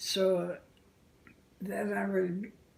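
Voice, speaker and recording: Over noticeable background noise, a woman with a medium pitch speaks at a very slow pace with fairly even intonation. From Canada. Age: 80s+. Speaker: realtor. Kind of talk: interview answer.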